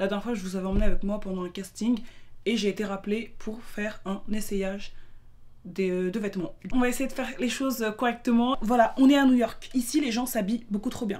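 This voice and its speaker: With a fairly high pitch and fairly even intonation, a woman talks at a fairly quick pace in a plain, everyday voice. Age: 20s. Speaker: lifestyle vlogger and student. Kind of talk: casual vlog narration. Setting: on the move in New York.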